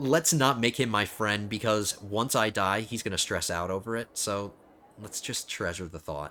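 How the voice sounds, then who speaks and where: A man with an unremarkable speaking voice talks at a moderate pace in a fairly low pitch with ordinary pitch variation. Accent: American. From New Jersey. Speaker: video game streamer. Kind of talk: casual gameplay commentary.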